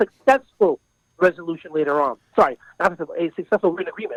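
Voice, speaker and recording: With an American accent, a man talks in an animated tone at a fairly quick pace, the sound dry and close with no echo. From New York. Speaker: mediator. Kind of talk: interview. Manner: fast.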